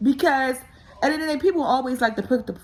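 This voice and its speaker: Loud and animated, a woman talks at a very fast pace in a fairly high pitch. Background noise is noticeable. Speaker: vlogger. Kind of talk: casual monologue.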